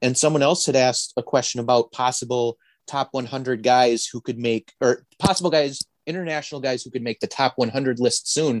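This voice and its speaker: A man talks with an Upper Midwest accent. His intonation stays fairly even. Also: medium pitch for a man, moderate pace, dry, close sound with no echo. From northern Wisconsin. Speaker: baseball podcast co-host. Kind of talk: casual chat.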